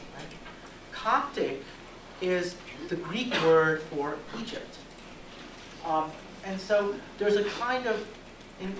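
A man's high-pitched voice at a fairly slow pace, with ordinary pitch variation and noticeable background noise. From US South. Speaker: law professor. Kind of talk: lecture. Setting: stage with audience. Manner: conversational, frequent 'right?' tags. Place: classroom.

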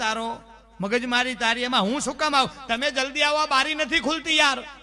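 A man uses a raised, projected voice. His pitch is extremely high. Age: 40s. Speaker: folk comedian. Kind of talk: stand-up.

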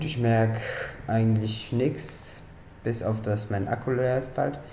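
A man speaks at a very slow pace. Audible room echo and light background noise surround his voice. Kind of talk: casual vlog chat. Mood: relaxed, matter-of-fact. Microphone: webcam.

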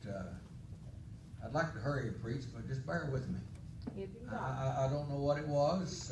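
A man talks at a moderate pace. Noticeable background noise runs under his speech. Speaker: preacher. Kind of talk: sermon. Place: church.

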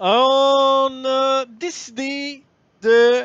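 Loud and close, a man's voice comes through dry with no echo against a quiet background. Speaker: gaming streamer. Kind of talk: live stream chat. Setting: live stream.

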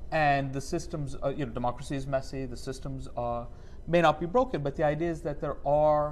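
Fairly high in pitch, a man with an unremarkable speaking voice talks at a fairly quick pace with fairly even intonation. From New York. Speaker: professor. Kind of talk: panel conversation.

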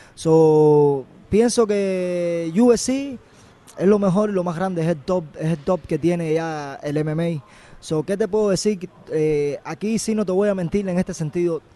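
With a Cuban accent, a man speaks at a fairly slow pace in a dark, mellow tone, high in pitch with ordinary pitch variation, on a dry sound with no echo. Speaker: MMA fighter. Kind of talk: interview. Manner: halting. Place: gym. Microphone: handheld.

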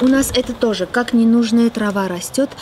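Faint background noise sits behind a woman speaking at a fairly slow pace with a slightly mellow tone and a fairly high pitch.

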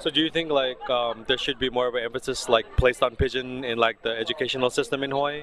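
A man talks at a very fast pace with hardly any pauses, at a medium pitch and with monotone, flat intonation. The sound is dry with no echo, with light background noise. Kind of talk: interviewer questions. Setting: outdoors. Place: street.

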